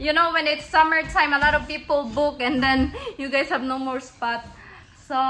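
Over light background noise, a woman projects a raised voice with fairly even intonation. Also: moderate pace. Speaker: family vlogger. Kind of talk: casual vlog chat. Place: home room. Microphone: phone near.

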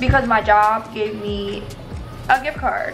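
A woman's voice over clear background music. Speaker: cooking vlogger. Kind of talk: casual vlog chat. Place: kitchen. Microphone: phone near.

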